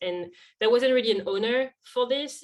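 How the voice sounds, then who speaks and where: This woman speaks with a strong French accent at a fairly quick pace. Her pitch varies in an ordinary way. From France. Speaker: social media lead. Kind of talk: podcast interview.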